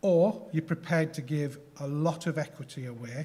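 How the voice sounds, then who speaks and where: Speaking at a fairly slow pace with a Yorkshire accent, a man uses a fairly high pitch and ordinary pitch variation. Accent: Yorkshire accent, noticeable. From Yorkshire, northern England. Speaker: health tech company founder. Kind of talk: conference presentation. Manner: hesitant, many fillers.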